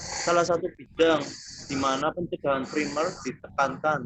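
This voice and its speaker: Fairly high in pitch for a man, an ordinary speaking voice proceeds at a moderate pace. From Tegal, Central Java, Indonesia. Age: 20s. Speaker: university student doing counseling practice. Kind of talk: counseling session with explanatory presentation.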